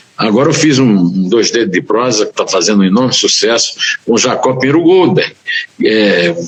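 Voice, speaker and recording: Noticeable background noise fills the recording. Through it, a man talks at a medium pitch. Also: lively intonation, moderate pace. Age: 70s. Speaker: journalist and writer. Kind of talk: interview. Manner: halting.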